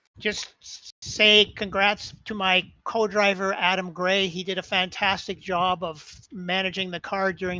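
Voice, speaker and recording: Against a quiet background, a man with a high pitch raises and projects his voice, his tone bright and sharp, his intonation monotone and flat, and his pace fairly slow. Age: 70s. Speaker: sim racing driver. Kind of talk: post-race interview.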